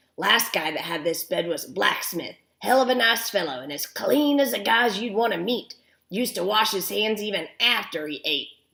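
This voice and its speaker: This is a put-on character voice with lively intonation. It moves at a moderate pace. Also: woman, medium pitch for a woman. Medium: read story. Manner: folksy, rambling.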